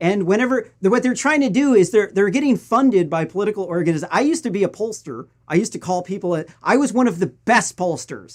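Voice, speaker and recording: A man with an American accent speaks at a very fast pace with hardly any pauses. His pitch is high and his intonation lively. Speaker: political news commentator. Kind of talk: political commentary.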